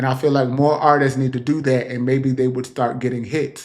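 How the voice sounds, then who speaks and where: A man's ordinary speaking voice at a moderate pace with fairly even intonation. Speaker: celebrity gossip show host. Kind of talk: casual commentary monologue. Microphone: new mic being tried out.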